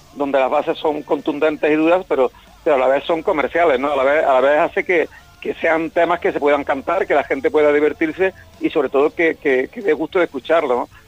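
In a dry, close recording with no echo but noticeable background noise, a man talks at a fairly quick pace and fairly high pitch with fairly even intonation. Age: 60s. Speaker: rock singer. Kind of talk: interview.

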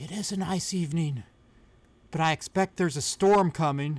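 A raspy, put-on character voice sits at a middle pitch. It moves along at a moderate pace.

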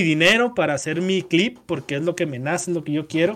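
A man with a high pitch speaks at a moderate pace, using ordinary pitch variation. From Mexico, Ciudad Juárez. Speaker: podcast co-host. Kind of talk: casual chat.

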